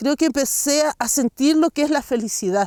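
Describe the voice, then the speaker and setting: Speaking at a moderate pace, a woman with a Chilean accent has a dark, mellow tone. The recording is very clean and dry, close with no echo, with a silent background. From Chile, San Pedro de Atacama. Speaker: intercultural educator and artisan. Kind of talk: interview answer.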